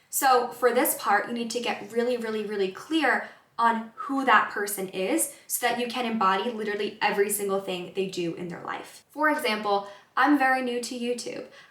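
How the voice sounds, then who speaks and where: A woman with a fairly high pitch and ordinary pitch variation talks at a moderate pace, with audible room echo and noticeable background noise. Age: 20s. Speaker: wellness counselor. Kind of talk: self-help vlog talk to camera. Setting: in front of a camera. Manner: casual conversational.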